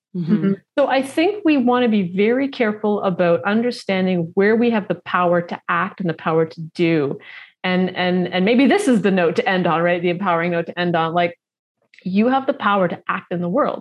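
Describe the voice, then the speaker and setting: With a plain, everyday voice, a woman talks at a fairly quick pace, her medium pitch showing ordinary variation. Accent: Canadian. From Canada, Toronto. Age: 40s. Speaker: nutrition coach and author. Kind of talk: casual chat.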